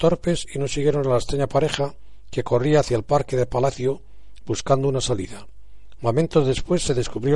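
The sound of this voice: Heard here is an unforced reading voice with ordinary pitch variation.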